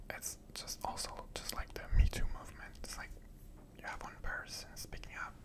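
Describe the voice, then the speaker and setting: A man whispers in a calm tone against noticeable background noise. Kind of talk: ASMR ramble. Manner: whispered, soft-spoken, calm.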